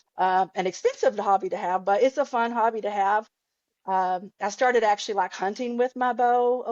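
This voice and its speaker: The woman's pitch sits fairly high. She has a Southern US accent. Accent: Southern twang. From Ozarks, Arkansas. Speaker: podcast guest, archer, cancer survivor. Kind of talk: casual interview chat.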